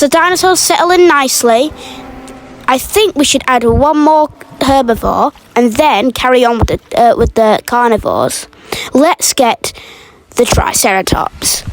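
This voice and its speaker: With an enthusiastic tone and lively intonation, a woman speaks high and fairly slowly with long, frequent pauses, her loudness very even and the sound dry and close with no echo, though background noise is noticeable. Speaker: gaming youtuber. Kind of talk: gameplay commentary. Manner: stuttering; casual, enthusiastic.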